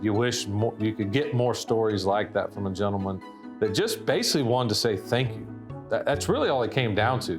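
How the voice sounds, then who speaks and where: Music plays in the background as a man with a medium pitch speaks fairly quickly, his pitch varying in an ordinary way. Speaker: conservation organization CEO. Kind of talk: interview answer.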